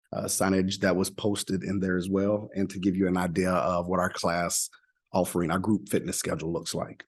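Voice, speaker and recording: Deep and very low in pitch, a man speaks at a fairly quick pace in a monotone, flat intonation. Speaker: wellness center manager giving a report. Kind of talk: presentation at a board meeting. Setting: school board meeting.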